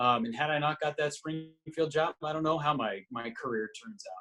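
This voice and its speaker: A man talks fairly quickly in an unremarkable speaking voice with fairly even intonation. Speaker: radio play-by-play broadcaster. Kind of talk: interview answer.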